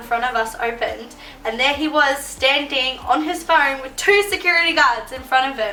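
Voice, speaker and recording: In an Australian accent, a woman speaks at a fairly quick pace with ordinary pitch variation, and room echo is audible. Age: 20s. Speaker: YouTuber. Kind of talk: storytime vlog. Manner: animated.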